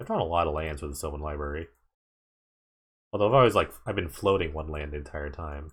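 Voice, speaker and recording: Soft-spoken and somewhat breathy, a man with a very deep, low pitch talks at a very fast pace, with ordinary pitch variation, big swings in loudness and long, frequent pauses. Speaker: gaming streamer. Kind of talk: live gameplay commentary. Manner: casual.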